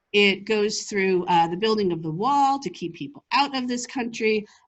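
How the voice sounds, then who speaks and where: The woman's voice stays at a medium pitch. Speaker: lawyer and keynote speaker. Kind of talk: keynote speech. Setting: conference stage with live and virtual audience. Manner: fast.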